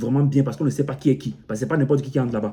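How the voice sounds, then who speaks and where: With an African accent, a man speaks at a very fast pace and a fairly high pitch. His voice is somewhat breathy, with ordinary pitch variation. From Cameroon. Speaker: motivational YouTuber. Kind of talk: motivational vlog monologue. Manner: repetitive, halting with frequent self-restarts.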